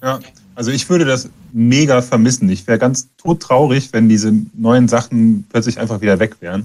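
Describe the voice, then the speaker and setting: A man speaks at a moderate pace in a medium-pitched voice with ordinary pitch variation. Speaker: punk musician. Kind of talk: interview. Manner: soft-spoken. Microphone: too quiet.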